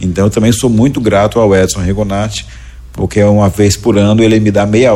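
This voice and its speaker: A man with an ordinary speaking voice, pitched fairly low, delivers his words at a moderate pace. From Goiás, central-western Brazil. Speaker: educator and entrepreneur. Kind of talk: podcast interview.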